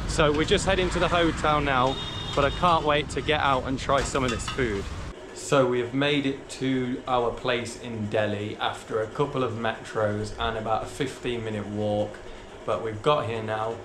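Over noticeable background noise, a man speaks at a moderate pace with ordinary pitch variation. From UK. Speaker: travel vlogger. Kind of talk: travel vlog narration. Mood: upbeat, relieved. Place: street. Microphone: phone near.

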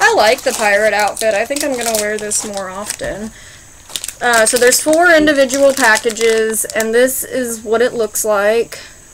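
Noticeable background noise fills the clip. A woman speaks at a moderate pace with ordinary pitch variation. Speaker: candy reviewer. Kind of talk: casual vlog chat. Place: garden. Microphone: phone near.

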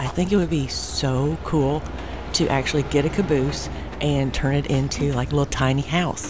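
A woman's very deep, low voice at a moderate pace over noticeable background noise. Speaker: travel vlogger. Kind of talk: casual vlog chat. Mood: disappointed but upbeat. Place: open country. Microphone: phone near.

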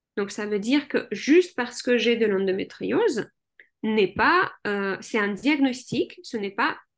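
Over a quiet background, a woman with a non-native accent speaks in a fairly high voice with lively intonation. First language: not French (speaking French). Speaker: general practitioner and hypnotherapist; guest. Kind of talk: interview. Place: home room. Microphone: webcam.

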